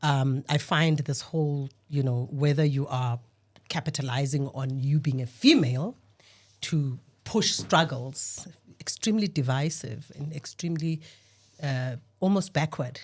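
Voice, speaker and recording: Somewhat breathy and very deep, a woman's voice moves at a fairly slow pace with ordinary pitch variation. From rural Eastern Cape, South Africa. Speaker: panel guest. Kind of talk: podcast discussion. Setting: studio.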